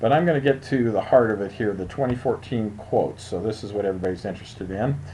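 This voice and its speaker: Talking very fast, a man with a fairly low voice uses ordinary pitch variation. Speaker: insurance agent. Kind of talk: screen-share tutorial. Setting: screen recording. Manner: casual, halting with fillers.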